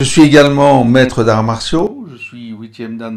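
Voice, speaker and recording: A man is speaking. His pace is very slow. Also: very clean recording, silent background. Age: 60s. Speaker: stress and crisis management trainer. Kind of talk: motivational talk with guided breathing exercise.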